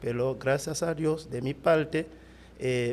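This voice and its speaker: A very slow-speaking man with a non-native accent. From Haiti, Cap-Haïtien. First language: Haitian Creole (speaking Spanish). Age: 30s. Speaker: pastor. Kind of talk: testimony interview. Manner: halting, many fillers.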